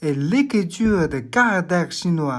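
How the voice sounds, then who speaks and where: At a very slow pace, a woman with a fairly low pitch swings very widely in pitch, in a very clean recording with a silent background. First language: Chinese (Mandarin) (speaking French). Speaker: language teacher. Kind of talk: tutorial. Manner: clear, deliberate.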